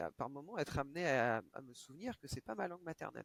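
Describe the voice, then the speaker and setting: The sound is dry and close, with no echo. A man speaks at a moderate pace with lively intonation. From France (Reims). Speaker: video game industry professional. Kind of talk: interview conversation. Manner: hesitant, many fillers and repetitions.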